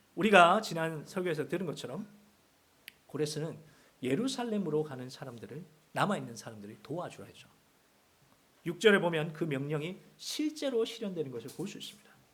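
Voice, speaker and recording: A man speaks at a fairly high pitch, with very wide pitch swings and big swings in loudness. His long, frequent pauses ring with audible room echo. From Seoul. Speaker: guest preacher. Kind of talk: sermon.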